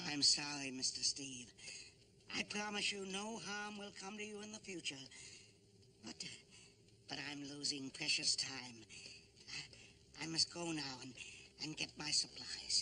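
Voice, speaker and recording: Over clear background noise, a man in a put-on character voice with fairly high pitch moves at a moderate pace, pausing long and often. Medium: short film. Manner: earnest, slightly halting.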